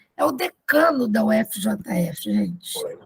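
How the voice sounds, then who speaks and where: Her pitch swinging very widely, a woman speaks in a fairly high voice with vocal fry. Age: 70s. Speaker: academy member introducing speaker. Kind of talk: formal introduction of a lecturer. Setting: video call from her bedroom. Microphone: too far from the mic at first.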